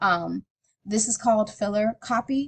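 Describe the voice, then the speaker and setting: Recorded dry and close with no echo, a woman speaks at a medium pitch in a somewhat breathy voice. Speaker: teacher. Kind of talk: tutorial. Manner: casual.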